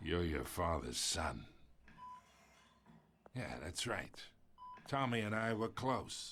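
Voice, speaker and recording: In a put-on character voice, a man speaks fairly slowly at a fairly low pitch, raspy and with very wide pitch swings. He leaves long, frequent pauses. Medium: video game. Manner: smug, condescending.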